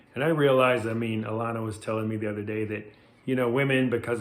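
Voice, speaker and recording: There is audible room echo as a man speaks with fairly even intonation. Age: 60s. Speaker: life coach. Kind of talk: motivational talk to camera. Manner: casual, conversational.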